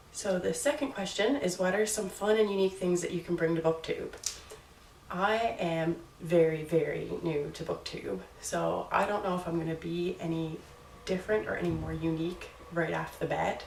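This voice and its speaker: Through noticeable background noise and audible room echo, a woman with a slight Newfoundland accent talks at a moderate pace. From Newfoundland, Canada. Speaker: booktuber. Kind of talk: casual vlog talk. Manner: hesitant, with fillers.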